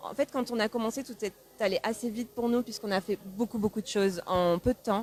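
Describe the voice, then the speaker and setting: Dry, close sound with no echo from a woman at medium pitch, moderate in pace, with fairly even intonation. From France (Pau). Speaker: singer. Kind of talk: interview. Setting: newspaper café interview. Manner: hesitant, many fillers.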